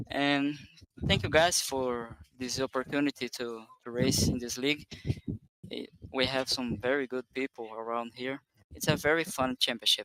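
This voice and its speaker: A man with a non-native accent speaks at a medium pitch and moderate pace, with fairly even intonation, long, frequent pauses, and a dry, close sound with no echo. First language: not English. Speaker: sim racing driver. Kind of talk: post-race interview. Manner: halting.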